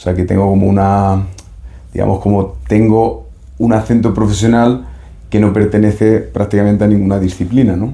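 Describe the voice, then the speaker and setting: Here a man speaks with a fairly low pitch. His loudness stays very even throughout. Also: ordinary pitch variation, moderate pace. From Spain, Seville. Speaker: doctor and psychotherapist. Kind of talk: interview. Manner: hesitant, many fillers.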